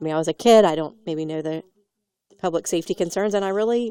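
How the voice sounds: This woman talks at a fast pace with ordinary pitch variation and a fairly low pitch. Her tone is dark, mellow, clear and smooth, with a dry, close sound and no echo.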